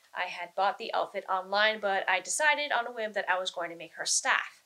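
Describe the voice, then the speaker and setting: At a fairly quick pace, a woman speaks at medium pitch in an unremarkable speaking voice. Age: 30s. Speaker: cosplayer. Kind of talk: casual chat.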